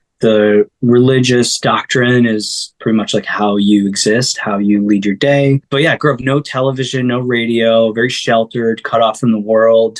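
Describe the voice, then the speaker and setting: With an American accent, a man talks in a fairly even intonation. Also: medium pitch for a man, moderate pace, hardly any pauses, very even loudness. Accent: sounds American. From upstate New York. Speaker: singer-songwriter. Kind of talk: interview conversation. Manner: casual, hesitant with filler words.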